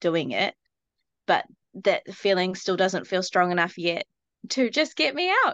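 A woman at medium pitch with a New Zealand accent, moderate pace, dry, close sound with no echo and a quiet background. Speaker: shop owner, parent. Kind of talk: group coaching call. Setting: phone video call.

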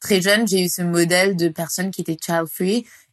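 In a dry, close sound with no echo, a woman with a fairly low voice speaks in a flat monotone. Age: 20s. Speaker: podcast guest, feminist activist. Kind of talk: interview.

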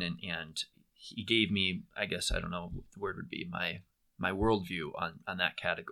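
A man speaks at a moderate pace in a fairly low voice with a bright, sharp tone, recorded very cleanly against a silent background. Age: 20s. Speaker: former ministry trainee and small group leader. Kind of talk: casual interview.

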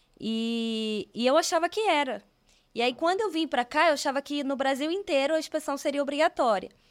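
A woman talks in a high pitch with lively intonation, in a very clean recording with a silent background. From Rio de Janeiro, Brazil. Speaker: civil engineer. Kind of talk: casual interview. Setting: studio.

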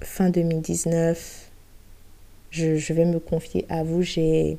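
A woman with a fairly low voice talks at a very slow pace in a dark, mellow tone. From Côte d'Ivoire, Abidjan. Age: 20s. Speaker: podcast host. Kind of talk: personal testimony. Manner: hesitant.

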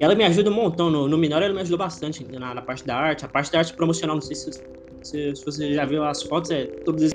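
A man talks at a very fast pace with a fairly high pitch. His pitch variation is ordinary, and noticeable background noise sits underneath. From Brazil, Goiânia, Goiás. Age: 20s. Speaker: indie game developer. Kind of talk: interview. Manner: halting, repeats words.

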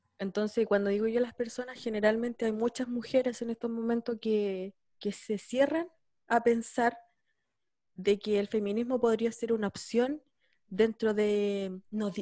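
A woman with a Chilean accent and a fairly high pitch speaks at a fairly slow pace in a dark, mellow tone with fairly even intonation. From San Javier, Chile. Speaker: podcast host. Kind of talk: casual interview.

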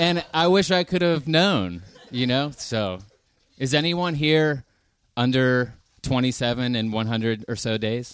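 A man with an American accent talks with very wide pitch swings. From US, Pittsburgh. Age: 30s. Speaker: rock band lead singer. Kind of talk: casual chat. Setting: live stage with audience.

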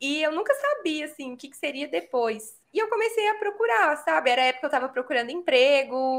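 A woman speaks at a fairly quick pace, her pitch making very wide swings. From São Paulo, Brazil. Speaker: teacher and educational content creator. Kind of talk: casual interview chat.

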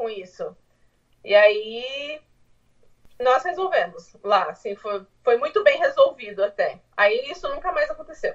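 Speech moves at a fairly slow pace, broken by long, frequent pauses, with big swings in loudness. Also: woman. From Brazil, interior of São Paulo state. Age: 30s. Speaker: homemaker, immigrant mother. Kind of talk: casual interview. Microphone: phone mic, speaking quietly.

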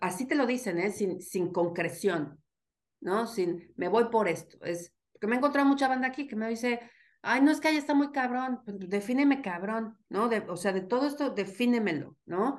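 A woman talks at a moderate pace in a normal speaking voice. Her pitch is fairly high and her intonation lively. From Mexico, State of Mexico (Atizapán). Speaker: migrant and social science enthusiast. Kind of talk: casual chat.

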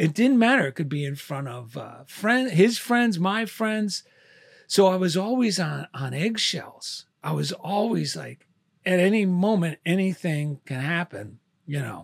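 A man speaks with a New Jersey accent at a fairly slow pace. His pitch is high and his intonation lively. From New Jersey, Clifton. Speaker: artist, author and military veteran. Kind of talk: casual interview chat. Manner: halting, many fillers.

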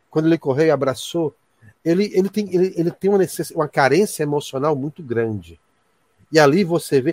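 The recording is dry and close, with no echo. A man speaks at a fairly high pitch with ordinary pitch variation. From Ceará, Brazil. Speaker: university professor and ufologist. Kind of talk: casual chat.

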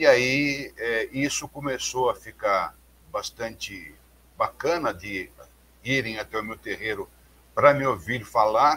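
A man speaking very slowly, with long, frequent pauses. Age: 50s. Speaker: religious leader and researcher. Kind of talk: interview, explanatory lecture.

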